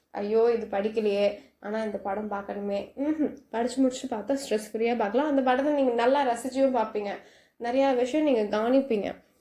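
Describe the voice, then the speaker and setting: A woman's fairly high voice, dark and mellow in tone, with fairly even intonation. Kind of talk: casual night talk to listener. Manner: soft, friendly.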